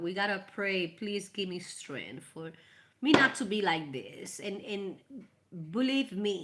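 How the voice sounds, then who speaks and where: With a Spanish accent, a woman speaks fairly slowly at medium pitch, her tone warm and animated and her intonation lively, against noticeable background noise. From Puerto Rico. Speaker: tarot reader. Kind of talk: live tarot reading stream. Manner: casual, warm, animated.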